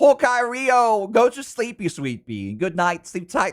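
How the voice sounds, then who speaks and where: Very wide swings in pitch run through this man's speech. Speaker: furry artist streamer. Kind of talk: casual livestream chat. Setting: home at night, housemates asleep. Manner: soft-spoken.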